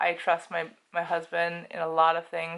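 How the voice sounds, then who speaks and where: Here a woman speaks with an American accent. Her pitch is fairly low. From United States. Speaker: housewife and birth educator. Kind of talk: casual talk to camera. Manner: rambling, stream of consciousness.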